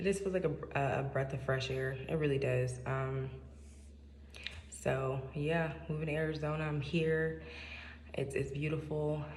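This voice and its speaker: A soft-spoken woman talks at a moderate pace amid noticeable background noise and audible room echo. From Seattle, US Pacific Northwest. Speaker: vlogger. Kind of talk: casual monologue. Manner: hesitant, many fillers. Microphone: echoey room.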